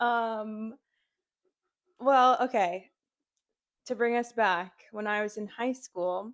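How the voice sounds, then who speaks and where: An animated woman with an American accent, a fairly high pitch and ordinary pitch variation. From New York. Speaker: health enthusiast. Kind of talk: casual chat.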